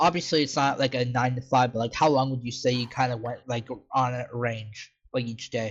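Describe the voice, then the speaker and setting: A man's medium-pitched, somewhat breathy voice at a fairly quick pace, with fairly even intonation. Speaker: podcast host. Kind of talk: interview. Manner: halting.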